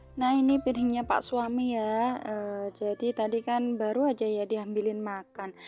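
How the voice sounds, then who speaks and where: Speaking at a fairly slow pace, a woman uses a dark, mellow tone at a fairly high pitch with fairly even intonation. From Central Java, Indonesia. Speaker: housewife vlogger. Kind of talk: casual vlog narration. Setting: at home, washing dishes. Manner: hesitant, frequent fillers.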